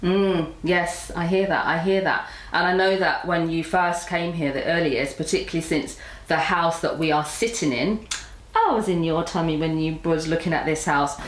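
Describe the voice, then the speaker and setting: Over noticeable background noise, a woman talks at a moderate pace in a fairly low voice. Her loudness is very even and her intonation fairly even. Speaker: podcast host. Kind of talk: interview question.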